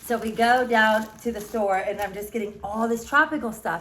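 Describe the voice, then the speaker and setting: A woman speaks at a medium pitch in a New York accent. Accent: fast New York-style speech. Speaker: vlogger. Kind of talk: casual vlog monologue. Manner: fast; chatty, rambling.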